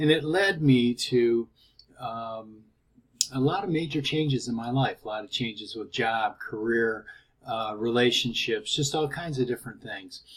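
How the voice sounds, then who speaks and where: At a moderate pace and medium pitch, a man speaks with ordinary pitch variation and big swings in loudness. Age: 60s. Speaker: product promoter, cancer survivor. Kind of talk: testimony and sales pitch. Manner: hesitant, with fillers.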